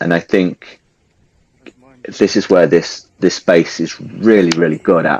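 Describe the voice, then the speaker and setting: A man speaks with a strong English accent in a very deep, low pitch. He leaves long pauses, and they come often. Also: moderate pace. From England. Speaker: participant in live audio chat room. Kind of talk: casual discussion. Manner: animated.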